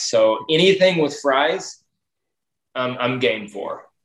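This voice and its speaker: Pitched fairly high with ordinary pitch variation, a man speaks in a plain, everyday voice. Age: 30s. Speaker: baseball coach. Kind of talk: casual chat.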